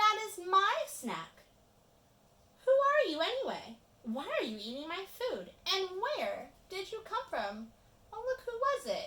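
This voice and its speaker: In a put-on character voice, a woman projects at an extremely high pitch with very wide pitch swings and big swings in loudness, moving at a fairly slow pace with long, frequent pauses. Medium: read story.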